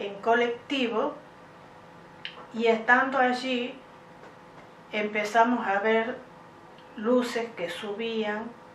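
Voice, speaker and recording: A woman's fairly high, flat monotone at a very slow pace, with noticeable background noise and audible room echo. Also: long, frequent pauses. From Argentina, Santa Fe province. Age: 60s. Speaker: UFO contact witness. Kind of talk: interview testimony. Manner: hesitant with many fillers.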